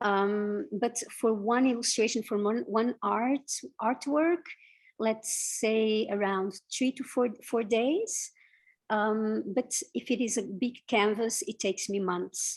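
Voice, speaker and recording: Against a quiet background, a woman with a Portuguese accent speaks at a very slow pace with ordinary pitch variation. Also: fairly high pitch for a woman. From Portugal. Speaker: illustrator and visual artist. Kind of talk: interview. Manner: halting, many fillers.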